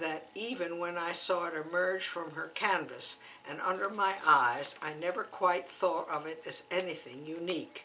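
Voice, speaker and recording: Noticeable background noise runs behind a woman speaking at a fairly slow pace. Her pitch is fairly low, with ordinary pitch variation. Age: 80s. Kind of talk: memoir reading.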